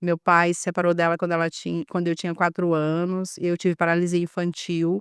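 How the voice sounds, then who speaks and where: A woman with a northeastern Brazilian accent talks at a fairly quick pace in a flat monotone, recorded very cleanly against a silent background. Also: fairly low pitch for a woman, dry, close sound with no echo. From Brazil, Maranhão (Northeast). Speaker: physiotherapist and spiritual healer. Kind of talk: podcast interview. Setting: studio.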